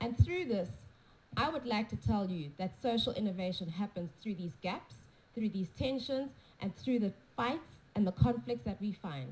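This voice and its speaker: A woman with a medium pitch talks at a moderate pace, using vocal fry. Her pitch swings very widely. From South Africa. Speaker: conference speaker. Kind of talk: conference talk with consecutive interpretation. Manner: unscripted, off the cuff.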